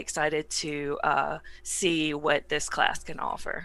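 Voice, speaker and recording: With a Southern US accent, a woman's bright, sharp voice keeps fairly even intonation on a very clean recording with a silent background. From US South. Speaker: tabletop game player. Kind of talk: casual chat.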